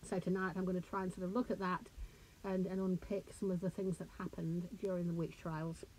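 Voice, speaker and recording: A somewhat breathy woman at a medium pitch talks at a fairly quick pace in a monotone, flat intonation. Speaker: author and lecturer. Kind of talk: lecture. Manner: hesitant, conversational.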